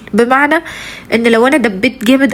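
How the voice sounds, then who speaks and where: A woman's high-pitched voice comes through. Noticeable background noise runs underneath. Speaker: vlogger, mother of three. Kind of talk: casual vlog talk to viewers. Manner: halting, many fillers.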